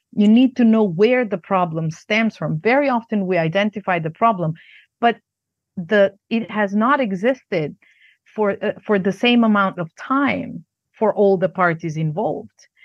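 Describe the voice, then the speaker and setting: In a Macedonian accent, a woman of medium pitch talks at a moderate pace with ordinary pitch variation, her voice dry and close with no echo against a quiet background. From Yugoslavia, Macedonia. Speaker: negotiation trainer and lecturer. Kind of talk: interview answers.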